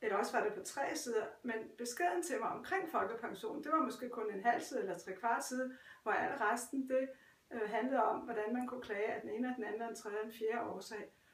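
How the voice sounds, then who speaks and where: A woman of fairly high pitch at a fairly quick pace, with audible room echo and noticeable background noise. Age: 70s. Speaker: retired pensioner. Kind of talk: interview. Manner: halting.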